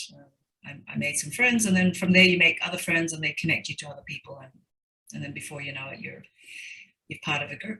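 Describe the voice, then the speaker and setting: A woman's very deep, low-pitched voice with vocal fry, a bright, sharp tone and lively intonation, very fast with long, frequent pauses and big swings in loudness. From Fiji. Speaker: banker, school alumna. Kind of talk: interview. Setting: video call. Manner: repetitive, halting.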